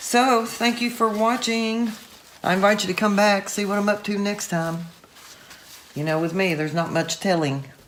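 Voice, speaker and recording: In a room with audible echo and noticeable background noise, a woman speaks in a relaxed tone. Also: medium pitch for a woman, ordinary pitch variation, moderate pace. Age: 60s. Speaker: art tutorial youtuber. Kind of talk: casual video commentary. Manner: relaxed, chatty.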